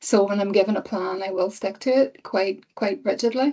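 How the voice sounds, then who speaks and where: A woman at a medium pitch, with an Irish accent. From Ireland. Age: 50s. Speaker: cancer patient. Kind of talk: testimony.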